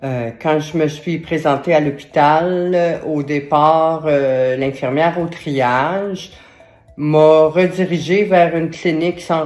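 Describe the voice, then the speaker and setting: A woman with a Quebec accent speaks very slowly at a very deep, low pitch. Her intonation is fairly even, with music in the background. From Quebec, Montreal. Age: 60s. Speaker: stroke survivor sharing patient story. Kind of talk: testimony. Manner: hesitant, many fillers.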